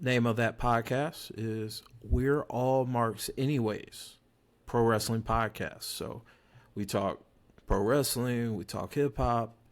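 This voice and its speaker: On a very clean recording with a silent background, a man with medium pitch speaks at a very slow pace with fairly even intonation. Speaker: podcast host. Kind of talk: casual chat.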